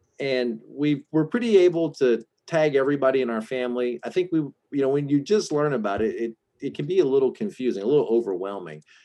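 Speaking very fast with lively intonation, a man with a dark, mellow tone and medium pitch has a slight Southern US accent. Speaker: Enneagram and relationship coach. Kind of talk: casual interview, coaching session.

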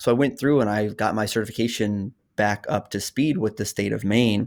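Speaking in a normal speaking voice with an American accent, a man moves at a fairly quick pace with medium pitch and fairly even intonation. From Oklahoma. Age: 30s. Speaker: personal finance YouTuber. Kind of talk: casual chat.

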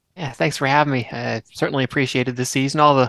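A man with an American accent talks at a very fast pace and medium pitch. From South Carolina, near Charleston. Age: 20s. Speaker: sim racing driver. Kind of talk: casual interview. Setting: video call.

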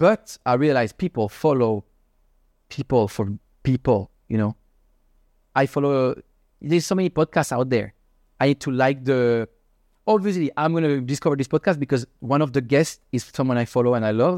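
A man with a Swiss accent speaks with ordinary pitch variation and long, frequent pauses. The sound is dry and close, with no echo. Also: medium pitch for a man, moderate pace, very clean recording, silent background. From Switzerland. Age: 30s. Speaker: crypto podcaster and investor. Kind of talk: casual interview chat. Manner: halting, non-native English, casual.

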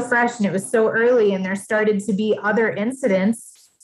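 A woman with an American accent talks at a moderate pace in a fairly high, somewhat breathy voice with fairly even intonation. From Massachusetts. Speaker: life coach. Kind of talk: casual chat.

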